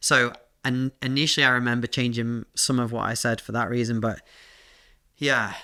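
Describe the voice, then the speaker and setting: Monotone, flat intonation from a man at a medium pitch with a bright, sharp tone, a moderate pace and long, frequent pauses. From northwest England, near Liverpool. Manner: halting, many fillers.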